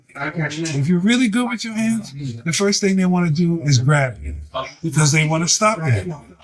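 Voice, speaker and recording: Over noticeable background noise and audible room echo, a man talks at a moderate pace with a high pitch and lively intonation. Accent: American. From US Northeast, Harlem New York. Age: 70s. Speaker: martial arts teacher. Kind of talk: interview. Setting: crowded restaurant.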